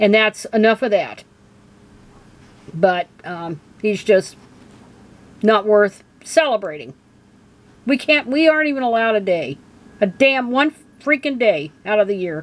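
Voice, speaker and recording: A woman's fairly high voice, animated and angry, with very wide pitch swings, a fairly slow pace and long, frequent pauses. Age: 60s. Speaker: video blogger. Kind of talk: casual commentary rant. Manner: animated, angry; halting with fillers.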